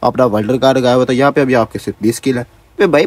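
A man talking at a fast pace, his pitch medium

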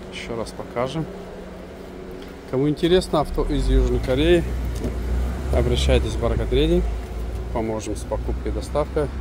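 A man at a moderate pace, long, frequent pauses, a dry sound with no echo and noticeable background noise. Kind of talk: car walkaround promo commentary. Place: street. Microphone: phone near.

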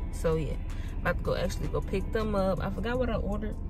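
A woman is speaking. Music plays clearly in the background. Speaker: vlogger. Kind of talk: casual vlog chat. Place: car. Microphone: phone near.

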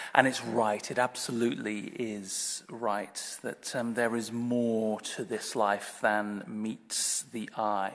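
Over a quiet background, a man talks at a very slow pace in a medium-pitched, monotone, flat delivery with hardly any pauses. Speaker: Anglican priest giving a sermon. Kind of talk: church sermon delivered to a congregation. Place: church. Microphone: podium.

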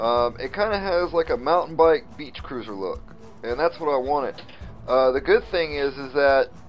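Faint music plays behind a man who talks at a fairly slow pace. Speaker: hobbyist vlogger. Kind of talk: casual vlog chat. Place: garage. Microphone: phone near.

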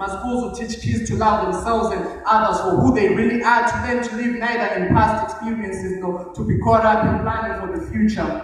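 Strong room echo surrounds a man with a high pitch. He talks at a fairly quick pace with ordinary pitch variation. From Zimbabwe. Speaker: spoken word poet. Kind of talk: spoken word poetry performance. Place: hall. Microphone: camera far.

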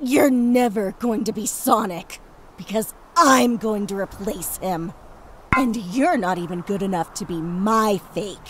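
A female-sounding put-on character voice at a medium pitch moves at a fairly slow pace over clear background noise. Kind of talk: voice-acted comic dub. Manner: brash, aggressive, hot-tempered.

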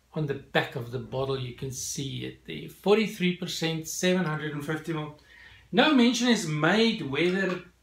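A man at a very slow pace, with audible room echo. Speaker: whisky reviewer. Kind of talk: product review. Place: home room.

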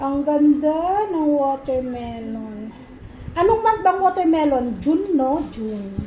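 A woman speaks very slowly in a high pitch with very wide pitch swings, with audible room echo and noticeable background noise around her. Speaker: home vlogger, parent. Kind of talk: casual vlog narration. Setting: outdoors, home garden.

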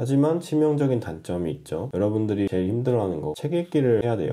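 Pitched fairly low, a man speaks with very wide pitch swings. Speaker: handwriting instructor and stationery shop owner. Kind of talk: unscripted ASMR narration over writing sounds. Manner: casual, rambling.

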